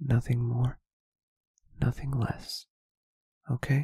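Soft-spoken and somewhat breathy, a man talks in a gentle tone with monotone, flat intonation, captured with a dry, close sound and no echo. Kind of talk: ASMR roleplay. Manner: gentle, comforting.

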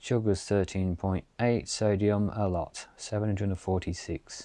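A man's fairly low voice, with a dry sound and no echo. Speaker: hiker reviewing camp food. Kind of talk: casual outdoor review vlog. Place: open country.

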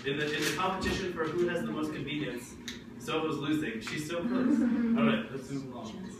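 A man speaks at a fairly quick pace. Loud background noise and audible room echo fill the recording. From New Jersey, Jersey City. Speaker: ESL grammar teacher. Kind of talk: classroom teaching. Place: classroom. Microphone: camera far.

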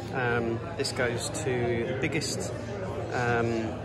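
Loud background noise fills the clip. Through it, a man talks. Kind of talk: casual vlog chat. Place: shop. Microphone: phone near.

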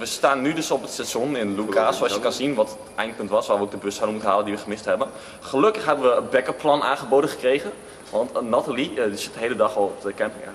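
The voice runs at a very fast pace against light background noise. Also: man. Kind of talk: casual vlog chat. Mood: joking, ironic. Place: station. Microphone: phone near.

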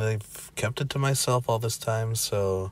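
A man's medium-pitched, somewhat breathy voice at a fairly slow pace, with ordinary pitch variation. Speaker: spiritual channel host. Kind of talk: casual talk to camera.

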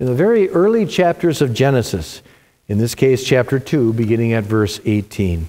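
The pace stays moderate as a man talks. His pitch moves in very wide swings. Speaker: pastor leading worship. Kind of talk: liturgical prayer and scripture reading. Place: church. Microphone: lapel.

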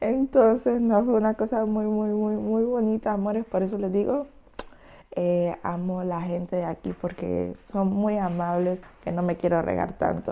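Her pitch varying in an ordinary way, a woman speaks fairly slowly. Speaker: vlogger. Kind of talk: casual vlog chat. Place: kitchen. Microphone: lapel.

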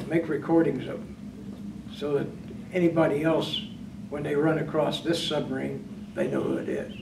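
The speech has ordinary pitch variation and a moderate pace, with big swings in loudness. Noticeable background noise runs underneath. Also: man. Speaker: retired navy submariner, master chief. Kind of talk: oral history interview. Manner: halting. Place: meeting room.

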